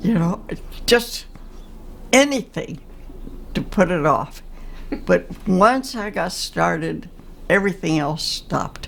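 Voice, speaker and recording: A woman of medium pitch speaks at a very slow pace with vocal fry. Her pitch swings very widely, broken by long, frequent pauses. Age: 80s+. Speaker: Jungian analyst and painter. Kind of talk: interview answer.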